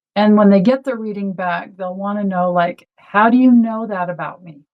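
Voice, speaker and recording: A woman with a plain, everyday voice talks at a medium pitch and fairly quick pace, with ordinary pitch variation. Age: 60s. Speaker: astrologer and energy healer. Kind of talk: interview conversation.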